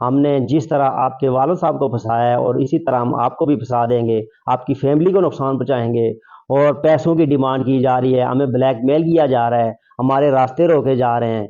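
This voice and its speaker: In a normal speaking voice, a man at medium pitch keeps very even loudness and fairly even intonation. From Pakistan, Abbottabad district (Circle Bakote). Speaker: local election candidate making a complaint. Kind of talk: press statement to media. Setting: media interview. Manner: formal.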